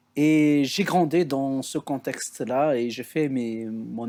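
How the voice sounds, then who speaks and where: A man's dark, mellow tone comes through on a very clean recording against a silent background. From Algeria, Kabylie (Béjaïa region). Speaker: theologian and researcher. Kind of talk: podcast interview testimony. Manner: hesitant, many filler sounds.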